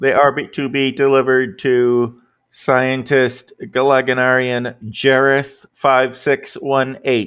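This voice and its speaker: Using a put-on, robotic character voice, a man speaks at a fairly slow pace in a medium pitch. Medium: actual play. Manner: mechanical, beeping, announcing.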